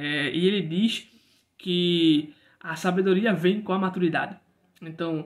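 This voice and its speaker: The man's voice sits high in pitch. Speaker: book reviewer. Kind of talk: casual book review monologue. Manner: hesitant, many fillers and repetitions.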